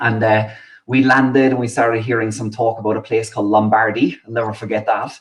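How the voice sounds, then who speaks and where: A man with a Cork accent, medium pitch, and a fairly quick pace. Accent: Cork Irish. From Ireland, Inniscarra, Co. Cork. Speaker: Irish emigrant guest. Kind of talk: casual interview chat.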